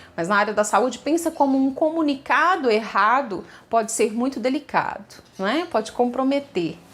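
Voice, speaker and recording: A woman speaks at a fairly slow pace with lively intonation. Her voice sits high in pitch. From Minas Gerais, Brazil. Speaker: teacher. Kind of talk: personal story told to camera. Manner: conversational, with filler hesitations.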